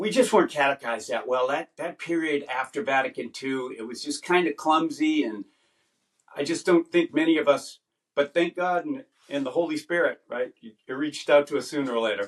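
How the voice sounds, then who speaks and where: In a dry, close recording with no echo, a man with an American accent uses a plain, everyday voice, a fairly high pitch, ordinary pitch variation and a fairly quick pace. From US East Coast. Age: 60s. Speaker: podcast host. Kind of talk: interview.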